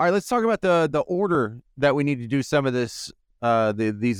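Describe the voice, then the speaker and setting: Here is a man with an ordinary speaking voice, talking at a fairly quick pace with lively intonation in a dry, close sound with no echo. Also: very clean recording, silent background. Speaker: radio co-host. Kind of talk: radio show conversation. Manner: casual, conversational.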